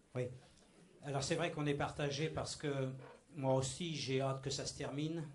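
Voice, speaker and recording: A man's fairly high voice, somewhat breathy, moves at a moderate pace with long, frequent pauses. His intonation is monotone and flat, and audible room echo surrounds it. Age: 60s. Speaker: church member giving testimony. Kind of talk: testimony. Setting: church meeting with microphone.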